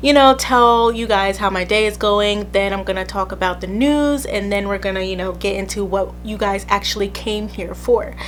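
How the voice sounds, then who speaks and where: Music sits in the background. Against it, a woman speaks at a moderate pace, hardly pausing at all. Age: 20s. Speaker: podcast host. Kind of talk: casual chat. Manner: casual, chatty.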